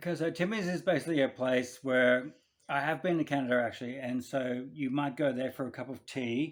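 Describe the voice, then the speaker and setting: Here a man speaks with an Australian accent. His pitch is medium and his pace fairly quick. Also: ordinary pitch variation. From Western Sydney, Australia. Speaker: podcast producer, former racer. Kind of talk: casual quiz game.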